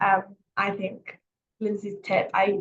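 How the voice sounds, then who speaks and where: This woman speaks with a somewhat breathy voice. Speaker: careers coach. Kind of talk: webinar talk. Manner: fast.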